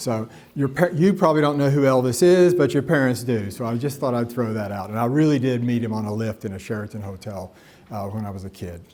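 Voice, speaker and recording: Talking at a fairly quick pace, a man with a Tennessee accent holds a medium pitch with ordinary pitch variation. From US South, Nashville, Tennessee. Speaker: professor. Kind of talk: lecture. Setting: stage with audience. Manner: animated, waves arms.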